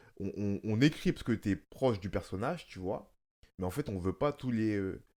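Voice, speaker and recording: A man speaks at a moderate pace in a fairly low voice with a dark, mellow tone. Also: lively intonation, very clean recording, silent background. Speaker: actor and podcast host. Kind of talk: casual chat.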